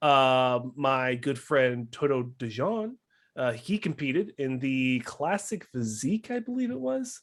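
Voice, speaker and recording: Speaking at a fairly slow pace, a man with an American accent uses lively intonation at a medium pitch. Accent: Wisconsin accent, comes back at times. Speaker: bodybuilding podcast co-host. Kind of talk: casual chat.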